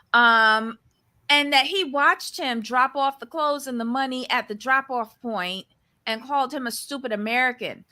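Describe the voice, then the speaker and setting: A woman with a Barbadian accent speaks in a high, bright, sharp voice, raised and projected, with an animated tone, ordinary pitch variation and a moderate pace, on a very clean recording with a silent background. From Barbados. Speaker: recap podcast co-host. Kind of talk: casual chat.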